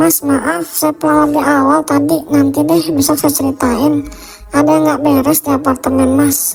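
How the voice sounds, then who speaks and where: A cartoonish character voice at a moderate pace over faint music in the background. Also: woman, high pitch for a woman. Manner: polite, deferential.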